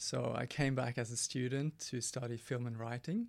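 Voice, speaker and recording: A man with a Norwegian accent, medium in pitch, at a moderate pace with fairly even intonation. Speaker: teacher turned documentary filmmaker. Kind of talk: radio interview. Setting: radio studio. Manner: hesitant, many fillers.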